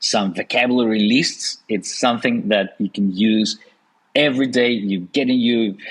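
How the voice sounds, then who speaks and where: A man's medium-pitched voice with a Russian accent, fairly slow and fairly even in intonation. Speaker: podcast host. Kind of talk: podcast interview.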